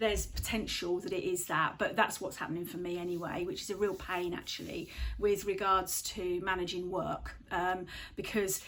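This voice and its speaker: Using a medium pitch and monotone, flat intonation, a woman with vocal fry talks at a moderate pace. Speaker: vlogger. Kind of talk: casual talk to camera. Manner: halting; hesitant, many fillers.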